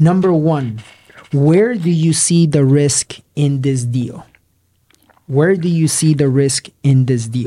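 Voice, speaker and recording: Very slowly, a man speaks in a somewhat breathy, dark, mellow voice, fairly high in pitch with ordinary pitch variation. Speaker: podcast host, real estate investor. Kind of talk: casual chat.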